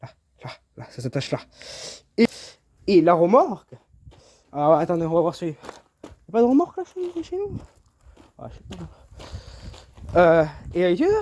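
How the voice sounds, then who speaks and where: Fairly slow speech broken by long, frequent pauses. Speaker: amateur DIY video maker. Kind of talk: casual DIY tutorial. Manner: halting, many hesitations.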